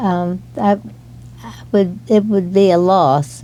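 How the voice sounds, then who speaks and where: The speaker is a woman with a medium pitch. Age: 80s+. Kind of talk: interview answer.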